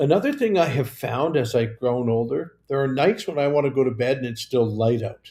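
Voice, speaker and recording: A somewhat breathy man with a Canadian accent, medium pitch, fairly quick pace, ordinary pitch variation and hardly any pauses. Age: 70s. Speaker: mayor. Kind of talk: casual chat. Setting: livestream. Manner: chatty, rambling.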